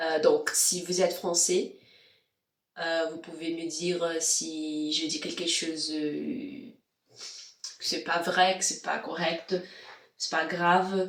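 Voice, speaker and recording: At a very slow pace with long, frequent pauses, a woman with a non-native accent speaks in a fairly low pitch with ordinary pitch variation. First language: not French (speaking French). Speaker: vlogger and language learner. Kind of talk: casual vlog. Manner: halting, many hesitations.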